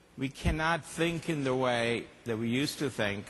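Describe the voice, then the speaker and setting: There is audible room echo around a man speaking at medium pitch. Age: 60s. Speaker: company executive and conference speaker. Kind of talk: conference keynote talk.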